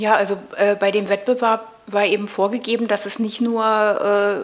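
Noticeable background noise sits behind a woman at medium pitch. Her intonation is monotone and flat. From East Berlin, Prenzlauer Berg. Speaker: video artist. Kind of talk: interview conversation. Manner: hesitant, with many fillers.

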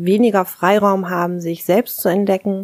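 An ordinary speaking voice from a woman of medium pitch, fairly slow and with fairly even intonation, in a dry, close sound with no echo. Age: 40s. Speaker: kindergarten teacher. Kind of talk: interview.

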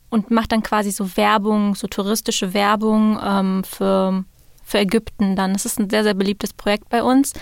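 The recording is very clean with a silent background. A woman speaks at a fairly high pitch and a moderate pace in a monotone, flat way. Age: 20s. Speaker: student society officer. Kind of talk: interview. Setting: studio.

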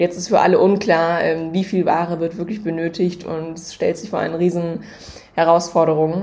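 A woman talks at a moderate pace in a fairly low voice with monotone, flat intonation. Her loudness swings widely. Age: 20s. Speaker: startup co-founder. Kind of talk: casual chat.

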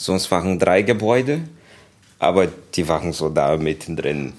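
A man with a Portuguese accent, very deep and low in pitch, at a very slow pace. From Brazil, Rio de Janeiro. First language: Portuguese (speaking German). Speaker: kung fu teacher. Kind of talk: interview. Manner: halting.

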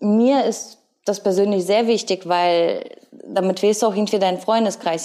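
The voice has a dark, mellow tone. Its intonation is fairly even. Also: woman. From Ukraine. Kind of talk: casual interview chat. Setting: living room couch at her home.

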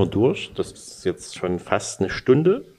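Here a man talks at a very slow pace. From Saxony, Freiberg. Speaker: sports journalist, podcast host. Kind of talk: interview.

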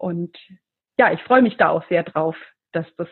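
A plain, everyday voice from a woman, moderate in pace and ordinary in pitch variation. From Middle Franconia, Bavaria. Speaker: geologist and professor. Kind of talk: interview.

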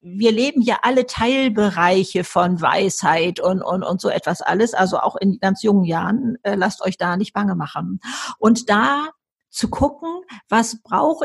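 A somewhat breathy woman's voice, fairly high, with lively intonation at a fairly slow pace. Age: 70s. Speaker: author and motivational speaker. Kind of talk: interview. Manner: animated.

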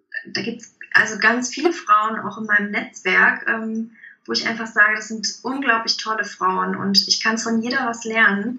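The speech moves at a moderate pace with big swings in loudness over noticeable background noise. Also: woman, fairly high pitch for a woman. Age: 30s. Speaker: leadership coach. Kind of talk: interview. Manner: hesitant, many fillers.

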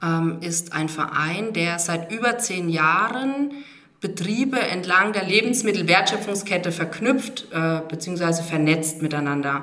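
A woman with a fairly low pitch speaks very slowly, using ordinary pitch variation. Noticeable background noise and audible room echo fill the recording. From Rhön, Lower Franconia, Germany. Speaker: regional brand manager. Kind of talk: interview.

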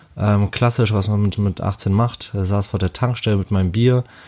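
A man speaks in a dark, mellow tone at a fairly low pitch. His pitch variation is ordinary. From Hamburg, northern Germany. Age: 30s. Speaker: interviewee telling couple's story. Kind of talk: personal storytelling.

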